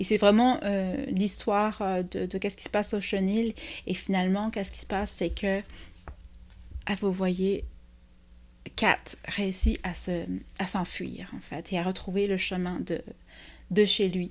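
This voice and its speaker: A woman with a medium pitch speaks at a fairly slow pace, her intonation fairly even. She leaves long, frequent pauses in a very clean recording with a silent background. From France. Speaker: children's literature book reviewer. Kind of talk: book review vlog. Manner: hesitant, many fillers.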